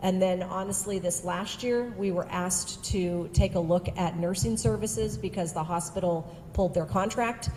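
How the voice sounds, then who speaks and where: A woman with a fairly low pitch speaks with hardly any pauses. Noticeable background noise and audible room echo are present. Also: ordinary pitch variation, moderate pace. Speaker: education service district presenter. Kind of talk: presentation to school board. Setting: school board meeting.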